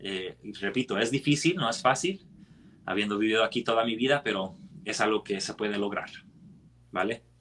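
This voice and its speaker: A man at a moderate pace and medium pitch, with ordinary pitch variation and long, frequent pauses. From United States. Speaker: scripture study teacher. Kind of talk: scripture study discussion. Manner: halting, frequent self-corrections.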